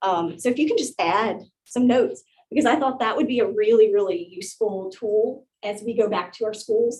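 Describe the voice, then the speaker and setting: Ordinary pitch movement in a woman's fairly high voice. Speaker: teacher presenting at an education conference. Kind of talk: conference presentation workshop. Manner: fast.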